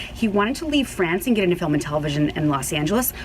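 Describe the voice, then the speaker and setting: The voice swings very widely in pitch. Noticeable background noise sits behind it. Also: woman. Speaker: show host. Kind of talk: interview. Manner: fast.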